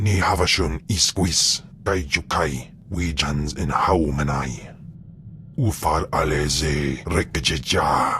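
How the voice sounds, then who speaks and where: A man uses a put-on character voice, pitched very deep and low, at a fairly slow pace. Clear background noise can be heard. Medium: video game.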